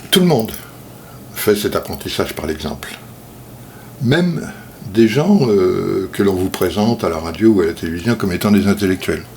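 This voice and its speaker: Lively intonation broken by long, frequent pauses, over noticeable background noise. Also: man, fairly low pitch for a man, moderate pace. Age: 60s. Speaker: self-taught speaker. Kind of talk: video monologue talk. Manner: hesitant, many fillers.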